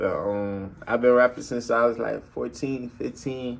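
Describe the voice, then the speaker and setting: In a Southern US accent, a man speaks at a fairly slow pace, with audible room echo. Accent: country Southern. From US South, Albany, Georgia. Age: 20s. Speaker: rapper and college student. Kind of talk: casual vlog monologue. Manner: casual, hesitant with many fillers.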